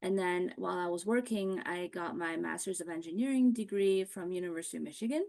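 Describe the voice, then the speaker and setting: Against a quiet background, an ordinary speaking voice moves at a fairly quick pace with ordinary pitch variation. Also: woman. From US Midwest, Ohio (moved to US at nine). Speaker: college admissions consultant. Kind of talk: online seminar presentation. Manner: conversational, many fillers.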